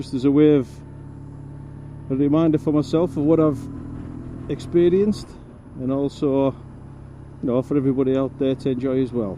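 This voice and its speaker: A man with a fairly high pitch and a Cumbrian accent, fairly quick pace, long and frequent pauses, fairly even intonation, and noticeable background noise. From northern England, Cumbria. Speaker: motorcycle vlogger. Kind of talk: casual vlog while riding.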